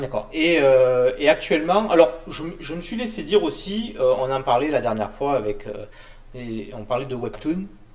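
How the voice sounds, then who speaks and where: At a moderate pace, a man with a fairly high voice speaks in very wide pitch swings. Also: big swings in loudness. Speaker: show host. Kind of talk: interview. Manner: stammering.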